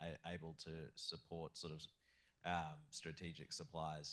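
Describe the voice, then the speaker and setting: With an Australian accent, a man speaks in a very deep, low voice with ordinary pitch variation. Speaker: audience member, lawyer. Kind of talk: audience question at panel. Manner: halting, many repetitions.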